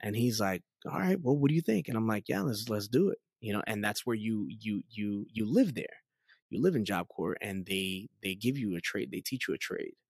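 The sound is dry and close, with no echo, and the voice has a New York accent. The recording is very clean, with a silent background. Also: man. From New York City (Queens, Astoria). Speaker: pastor. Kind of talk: testimony interview. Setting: in-person interview.

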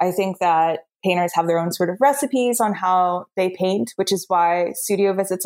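In a plain, everyday voice, a woman talks at a fairly quick pace with a medium pitch and ordinary pitch variation, the sound dry and close with no echo. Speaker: contemporary artist. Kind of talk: casual interview conversation. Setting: video call.

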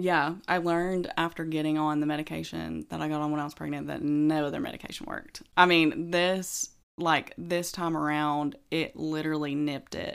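In a Southern US accent, a woman speaks at a moderate pace with hardly any pauses on a very clean recording with a silent background. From Alabama, US South. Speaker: new mother on maternity leave. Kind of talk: casual chat.

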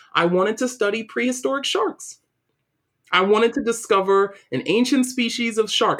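In a New York accent, a woman talks at a moderate pace with a fairly high pitch and ordinary pitch variation. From Brooklyn, New York City. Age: 30s. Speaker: diversity and equity consultant. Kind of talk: interview.

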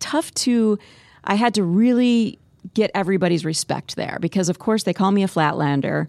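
On a very clean recording with a silent background and a dry, close sound with no echo, a woman uses an ordinary speaking voice with lively intonation and very even loudness. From US Midwest (Spirit Lake, Iowa). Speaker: TV morning news anchor. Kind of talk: casual chat.

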